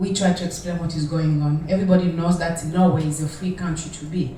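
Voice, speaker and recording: Noticeable background noise and audible room echo surround a woman speaking at a moderate pace, her fairly low pitch showing ordinary variation. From Democratic Republic of the Congo. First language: French. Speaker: audience member asking a question. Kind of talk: audience question at panel. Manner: halting.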